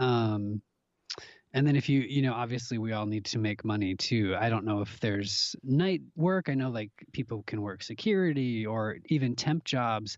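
With an American accent and an unremarkable speaking voice, a man speaks at medium pitch and a moderate pace, with lively intonation, over a quiet background. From US Midwest, Minnesota (Minneapolis). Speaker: actor. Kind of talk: casual chat.

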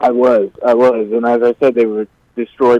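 A man's monotone, flat delivery in a dry, close sound with no echo. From Virginia. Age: 20s. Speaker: homeless man. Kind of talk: radio interview. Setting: phone call.

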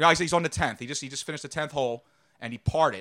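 Loud and with ordinary pitch variation, a man is speaking. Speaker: sports media personality. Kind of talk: casual chat. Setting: studio.

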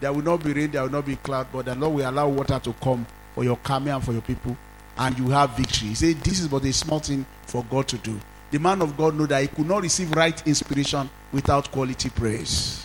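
Over noticeable background noise, the speech races at a very fast pace. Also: man, fairly high pitch for a man. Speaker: pastor. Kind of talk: sermon. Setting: church. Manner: animated.

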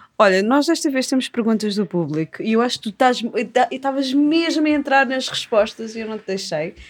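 Talking at a fairly quick pace, a woman uses lively intonation and a high pitch, with big swings in loudness. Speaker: podcast host, magazine editor. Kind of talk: casual interview chat.

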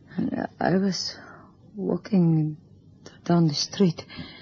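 Putting on a character voice, a woman speaks slowly in a fairly low pitch with a dark, mellow tone and a husky, rough edge. Her intonation stays fairly even.

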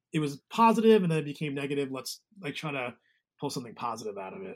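A man talks at a very fast pace in an American accent. His pitch is fairly high and his intonation lively. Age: 40s. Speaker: musician and guitar tech. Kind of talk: casual interview chat. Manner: halting.

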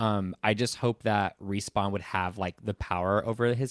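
A man with an American accent speaks at a fairly low pitch with fairly even intonation. The recording is very clean, with a silent background and a dry, close sound with no echo. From Southern California. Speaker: podcast guest, Star Wars fan creator. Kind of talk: casual chat.

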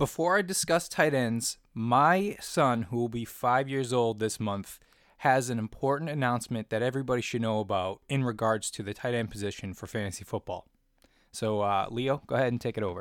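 Over a very clean recording with a silent background, a man at medium pitch talks fairly quickly with ordinary pitch variation. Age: 30s. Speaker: fantasy football podcast host. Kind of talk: solo podcast commentary.

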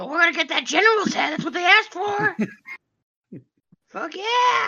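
This put-on character voice has an extremely high pitch. It moves at a moderate pace. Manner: squawky.

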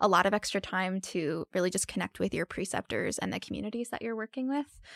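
Vocal fry runs through this voice, which has an American accent and a dry, close sound with no echo. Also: woman, very clean recording, silent background. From New Jersey. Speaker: medical student. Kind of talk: interview.

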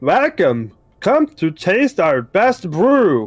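A put-on character voice sounds robotic, with very wide pitch swings. It moves at a very slow pace on a very clean recording with a silent background. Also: man. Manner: cheerful, welcoming.

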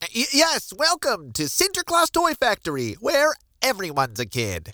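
A put-on character voice, fairly high in pitch, at a moderate pace, on a very clean recording with a silent background. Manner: fake cheerful, sing-song.

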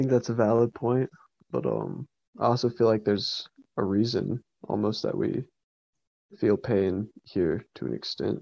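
The speaker has an American accent and moves at a moderate pace with long, frequent pauses. The sound is dry and close with no echo, and the background is quiet. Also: man. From US South, East Tennessee, Appalachia. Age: 20s. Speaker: self-described shamanic practitioner. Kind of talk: interview. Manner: halting, many fillers.

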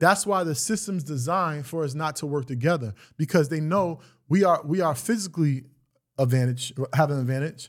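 Recorded very cleanly against a silent background, a man talks fairly quickly with a fairly high pitch and ordinary pitch variation. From Greenburgh, Westchester, New York. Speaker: media entrepreneur. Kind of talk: casual interview.

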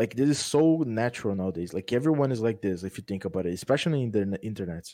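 Speaking with a Brazilian accent at a very fast pace, a man uses a dark, mellow tone at medium pitch with lively intonation. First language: Portuguese. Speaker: gaming content creator. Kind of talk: casual chat.

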